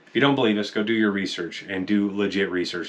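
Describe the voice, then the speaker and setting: A man is speaking at a moderate pace. His pitch is fairly low. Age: 40s. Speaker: diet success story guest, husband of channel host. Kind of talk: casual chat. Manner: animated.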